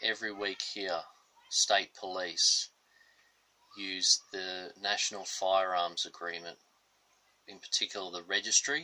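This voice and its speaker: A man with an Australian accent at a fairly slow pace, with long, frequent pauses and big swings in loudness. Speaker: political commentator. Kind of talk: political monologue.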